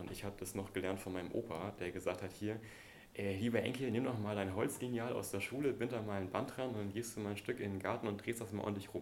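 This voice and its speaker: A man's fairly low voice, an unremarkable speaking voice, fairly quick pace and fairly even intonation. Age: 30s. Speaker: archaeologist and wilderness educator. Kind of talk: interview conversation.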